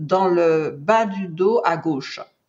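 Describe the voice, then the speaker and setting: Her intonation is lively. The woman's voice sounds somewhat breathy. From Martinique. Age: 60s. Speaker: cancer survivor. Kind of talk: testimony. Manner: hesitant, many fillers.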